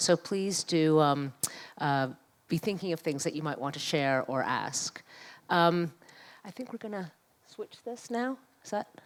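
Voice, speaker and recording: A woman with a New York accent, fairly low pitch, lively intonation, fairly slow pace, and long, frequent pauses. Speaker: activist and scholar. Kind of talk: public panel conversation.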